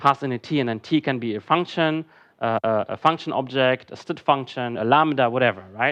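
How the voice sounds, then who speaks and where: Man at medium pitch and a fairly quick pace, ordinary pitch variation, dry and close sound with no echo, quiet background. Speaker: conference speaker. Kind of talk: lecture. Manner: fast.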